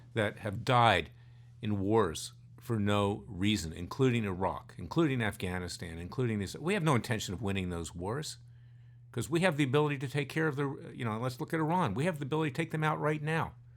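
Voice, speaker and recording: In an American accent, a man talks at a fairly quick pace with very wide pitch swings. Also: medium pitch for a man. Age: 60s. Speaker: lawyer and podcast co-host. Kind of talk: casual political discussion. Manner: animated.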